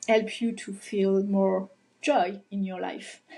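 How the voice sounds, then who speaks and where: Somewhat breathy, a woman speaks with a French accent at medium pitch and with fairly even intonation. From France. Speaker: holistic life coach. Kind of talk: interview, explaining. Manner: halting, hesitant.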